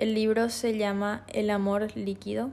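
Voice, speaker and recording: Here a woman speaks in a Paraguayan accent. Her tone is dark and mellow. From Paraguay, Asunción. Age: 20s. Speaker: podcast host, illustrator and tourism student. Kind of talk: solo reflective monologue.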